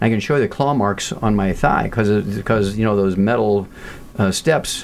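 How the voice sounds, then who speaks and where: With noticeable background noise, a man talks at a fairly quick pace and a fairly low pitch, using ordinary pitch variation. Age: 70s. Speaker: nutritionist and pathologist. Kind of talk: interview.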